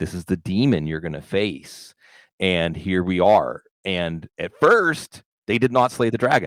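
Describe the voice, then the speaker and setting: Recorded very cleanly against a silent background with a dry, close sound and no echo, a man with an American accent speaks at a fairly slow pace in a very deep, low pitch, his tone animated and his intonation lively. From Pittsburgh, US. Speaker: football analyst and podcaster. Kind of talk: casual podcast conversation.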